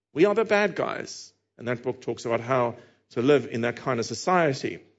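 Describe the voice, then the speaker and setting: A man with a South African accent and very wide pitch swings. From Cape Town. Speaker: preacher. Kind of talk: sermon. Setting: church.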